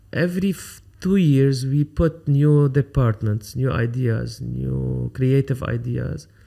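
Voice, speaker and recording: A man with an Arabic accent speaks at a very slow pace over a quiet background. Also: long, frequent pauses. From Lebanon. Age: 50s. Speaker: photographer; podcast guest. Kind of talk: interview. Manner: halting. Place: studio. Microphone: studio mic.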